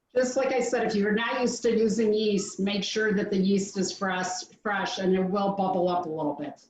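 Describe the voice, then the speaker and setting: Speaking with hardly any pauses, a woman uses a normal speaking voice at medium pitch with ordinary pitch variation. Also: moderate pace. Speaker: home baker teaching a recipe. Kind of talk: online cooking demo Q&A.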